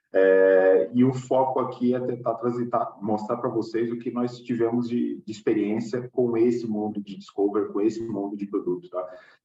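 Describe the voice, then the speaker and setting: Music plays in the background. A man speaks at a medium pitch and a moderate pace. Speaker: agile coach. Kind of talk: webinar presentation.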